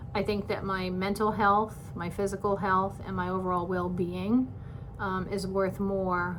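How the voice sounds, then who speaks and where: A woman with an American accent at a moderate pace and fairly even intonation, with audible room echo and noticeable background noise. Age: 60s. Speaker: retiring teacher, vlogger. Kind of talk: personal vlog monologue. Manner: hesitant, many filler words.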